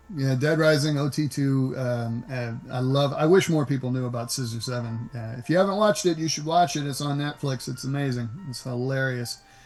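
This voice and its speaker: A man with an American accent talks in a relaxed tone at a medium pitch and a fairly quick pace, his pitch varying in an ordinary way over music in the background. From US South, Nashville. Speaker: voice actor. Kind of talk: interview. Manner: relaxed, conversational; halting, many restarts.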